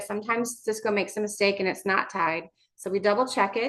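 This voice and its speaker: Fairly even intonation with a bright, sharp tone. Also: woman. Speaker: vendor sales representative. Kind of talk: webinar presentation. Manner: fast.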